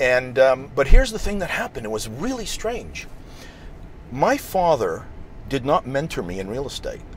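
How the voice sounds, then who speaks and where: With a Montreal accent, a man with a fairly high pitch speaks at a moderate pace, his pitch swinging very widely and his loudness rising and falling sharply over noticeable background noise. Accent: Canadian English (Montreal anglophone). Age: 60s. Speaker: real estate investor. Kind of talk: interview.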